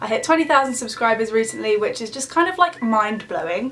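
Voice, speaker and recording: Over noticeable background noise, a woman talks at a fairly quick pace. Her fairly high voice has lively intonation. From English Midlands. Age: 20s. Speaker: beauty and lifestyle vlogger. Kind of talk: casual chat to camera. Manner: chatty, casual.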